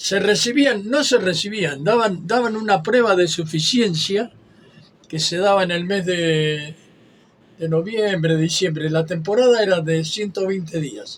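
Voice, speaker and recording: A man with a Rioplatense accent speaks at a high pitch and a fairly slow pace. His pitch variation is ordinary, and background noise is noticeable. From Argentina, western Buenos Aires area. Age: 80s+. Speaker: retired lifeguard. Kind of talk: interview. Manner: halting.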